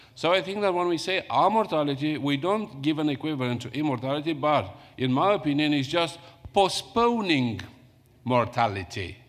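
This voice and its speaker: Lively intonation from a fairly high-pitched man with a Romanian accent, at a moderate pace. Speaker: academic conference panelist. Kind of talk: panel Q&A answer. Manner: halting.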